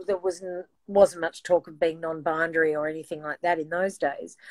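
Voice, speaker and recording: Someone with an Australian accent speaks at a moderate pace, the sound dry and close with no echo. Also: woman. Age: 60s. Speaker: singer. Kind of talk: casual chat.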